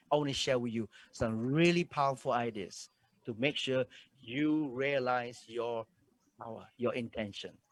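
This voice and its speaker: A man at medium pitch and a moderate pace, with ordinary pitch variation and long, frequent pauses, in a dry, close sound with no echo on a very clean recording with a silent background. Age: 60s. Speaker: motivational speaker. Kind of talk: motivational talk. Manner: animated.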